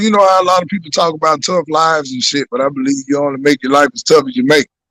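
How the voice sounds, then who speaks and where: Here a man talks at a very fast pace. The sound is dry and close, with no echo. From US South, Birmingham, Alabama. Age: 40s. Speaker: comedian. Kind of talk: interview.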